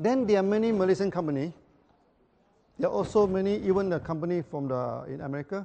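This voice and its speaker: Talking at a very fast pace, a man uses a high pitch with ordinary variation. The background is quiet. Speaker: company founder giving a talk. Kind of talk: business presentation to audience with interpreter. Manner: repetitive, stammering restarts.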